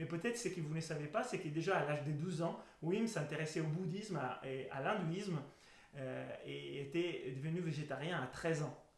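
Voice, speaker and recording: Noticeable background noise and audible room echo accompany a man with a fairly high pitch who speaks at a moderate pace with ordinary pitch variation. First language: Italian (speaking French). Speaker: breathing method instructor. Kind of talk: educational talk. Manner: halting.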